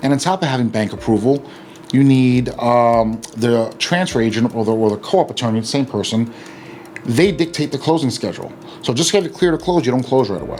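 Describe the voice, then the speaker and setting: Over noticeable background noise, a man talks at a fairly quick pace with lively intonation and a medium pitch. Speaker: real estate attorney. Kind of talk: educational explainer video. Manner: fast; casual with many fillers.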